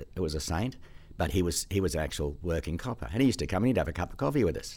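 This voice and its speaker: A man speaks very fast with an Australian accent and lively intonation. The recording is very clean, with a silent background. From Australia, Sydney. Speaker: driver education specialist. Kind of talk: casual interview. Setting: studio. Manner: halting.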